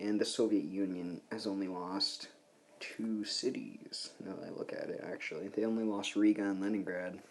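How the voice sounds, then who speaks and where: This voice is quiet, with a dark, mellow tone. It moves at a moderate pace. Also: man. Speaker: gaming commentator. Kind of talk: gameplay commentary. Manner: quiet, subdued.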